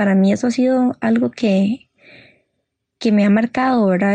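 The woman speaks at a medium pitch. Her tone is dark and mellow. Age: 20s. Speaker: guest sharing mental health story. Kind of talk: personal testimony.

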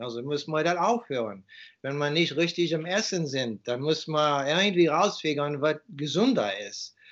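A man speaks with an English accent at a fairly high pitch. His pace is fairly slow. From USA. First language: English (speaking German). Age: 50s. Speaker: author and raw food advocate. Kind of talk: interview. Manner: halting.

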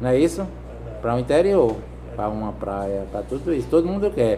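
A man speaks over noticeable background noise. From Brazilian Northeast, Juazeiro do Norte, Ceará. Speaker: vehicle sticker installer. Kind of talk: casual interview. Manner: halting, repeats words.

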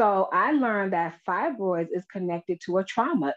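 In a plain, everyday voice, a woman speaks at a medium pitch. Her intonation is lively and her pace moderate. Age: 40s. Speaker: empowerment and life coach. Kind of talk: casual chat.

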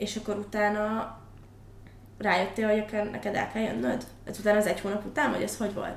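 Noticeable background noise and audible room echo surround a woman's voice. She talks at a fairly quick pace with fairly even intonation. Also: medium pitch for a woman. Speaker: podcast host. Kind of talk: interview.

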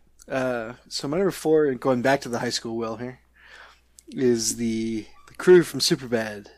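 This man has a normal speaking voice of medium pitch, moving at a moderate pace with ordinary pitch variation and big swings in loudness. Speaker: podcast co-host. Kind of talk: casual chat about movies and TV.

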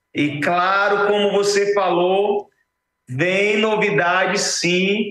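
This man speaks with a high pitch. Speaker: optical store owner, CEO. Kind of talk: infomercial pitch. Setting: live TV studio. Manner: animated, enthusiastic, salesy; halting, repeats words.

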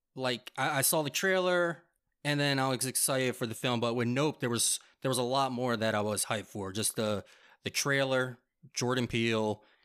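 A man speaks in an ordinary speaking voice at medium pitch, keeping a moderate pace and ordinary pitch variation. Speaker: film podcast co-host. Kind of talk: casual chat. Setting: remote recording.

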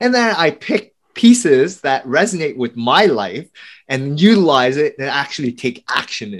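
A man speaks at a moderate pace with an American accent. His fairly high voice swings very widely in pitch. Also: big swings in loudness. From US, Vietnamese family. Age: 40s. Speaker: podcast host. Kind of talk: interview.

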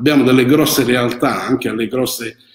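Monotone, flat intonation from a man, medium in pitch, at a moderate pace. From Apulia, Italy. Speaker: winemaker. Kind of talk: live-streamed interview. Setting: old wine cellar.

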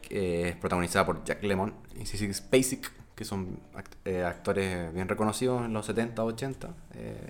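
His fairly low pitch and ordinary pitch variation come at a fairly slow pace as this man speaks. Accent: Chilean. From Chile, Rancagua. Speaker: podcast co-host. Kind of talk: casual chat.

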